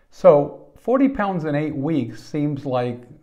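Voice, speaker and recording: The man's tone is dark and mellow. Behind him, the background stays quiet. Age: 50s. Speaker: wellness podcaster. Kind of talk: personal monologue. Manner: halting. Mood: warm, personal. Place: home room. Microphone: lapel.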